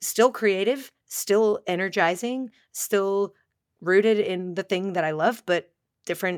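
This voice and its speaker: Recorded very cleanly with a silent background and a dry, close sound with no echo, a woman talks at a moderate pace and medium pitch, animated in tone with ordinary pitch variation. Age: 30s. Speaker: podcast host and dancer. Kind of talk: casual interview chat.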